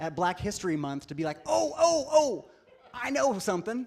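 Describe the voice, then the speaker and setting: This man's high-pitched voice moves along at a moderate pace. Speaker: guest preacher, social justice speaker. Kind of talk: sermon. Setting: congregation, live audience. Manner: storytelling, humorous.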